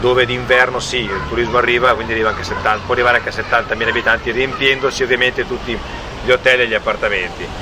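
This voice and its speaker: Over noticeable background noise, a man talks at a very fast pace. His medium-pitched voice has monotone, flat intonation. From northern Italy, Ferrara. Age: 40s. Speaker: real estate agent and relocation helper. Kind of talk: casual interview conversation. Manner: halting, many repetitions.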